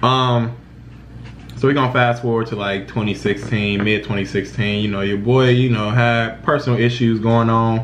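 Over light background noise, a man speaks in a flat monotone. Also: moderate pace. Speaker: vlogger. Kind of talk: personal storytelling vlog. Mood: serious, reflective about depression. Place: kitchen. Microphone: phone near.

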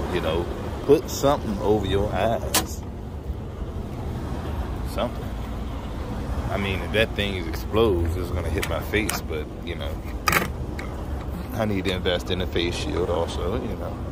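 The speaker goes at a moderate pace with long, frequent pauses. The sound is dry with no echo, and loud background noise comes through. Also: man. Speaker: truck mechanic vlogger. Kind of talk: casual vlog chat. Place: street. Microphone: phone near.

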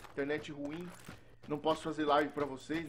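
A man's voice with a fairly high pitch. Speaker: gaming youtuber. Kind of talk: gameplay commentary. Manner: animated.

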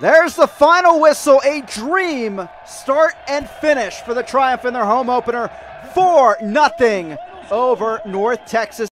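Lively intonation at a fairly slow pace, with dry sound, no echo, and light background noise. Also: man, extremely high pitch for a man. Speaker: play-by-play commentator. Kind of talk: live sports commentary. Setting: stadium broadcast. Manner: clipped, urgent delivery.

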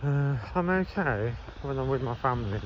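A man's medium-pitched voice comes through over noticeable background noise. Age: 40s. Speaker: vlogger. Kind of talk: casual vlog monologue. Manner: halting.

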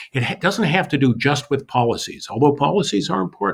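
This man talks at a very fast clip, his voice showing vocal fry and big swings in loudness. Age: 60s. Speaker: pastor and city council candidate. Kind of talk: interview.

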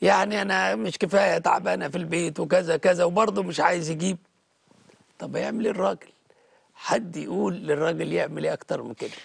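Against a quiet background, a man talks at a moderate pace in a dry sound with no echo. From Egypt. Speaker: Coptic Orthodox bishop. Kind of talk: TV interview, pastoral advice. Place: studio. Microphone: lapel.

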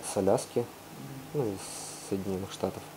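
Fairly low-pitched male voice over light background noise. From Russia. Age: young. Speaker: volcanologist. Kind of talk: guest talk and Q&A answers. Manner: hesitant, casual. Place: classroom. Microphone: lapel.

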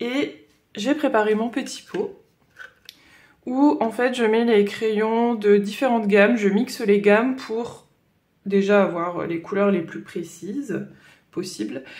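With a northern French accent, a woman at fairly high pitch talks at a very slow pace with long, frequent pauses against a quiet background. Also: ordinary pitch variation. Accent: Ch'ti (northern French). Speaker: coloring hobby vlogger. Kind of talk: casual talk to camera. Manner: hesitant, chatty. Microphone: phone near.

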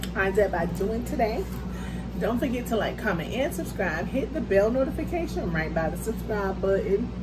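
Against loud background noise, a woman talks at a fairly quick pace. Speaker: mukbang creator. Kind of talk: casual vlog chat. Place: home room. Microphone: phone near.

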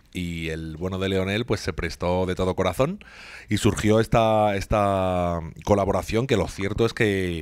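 A man's very deep, low voice, fairly even in intonation, at a fairly slow pace over a quiet background. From Spain. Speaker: singer-songwriter; guest. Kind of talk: interview; interview answer. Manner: halting, many repetitions. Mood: warm, reflective. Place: office. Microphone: handheld.

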